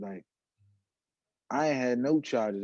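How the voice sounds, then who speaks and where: Ordinary pitch variation runs through a dark, mellow tone. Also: man. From Washington DC, Southeast. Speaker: rapper. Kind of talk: casual chat.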